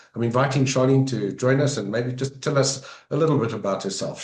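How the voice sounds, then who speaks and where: A somewhat breathy male voice at a fairly quick pace. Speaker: road safety interview host. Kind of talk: interview.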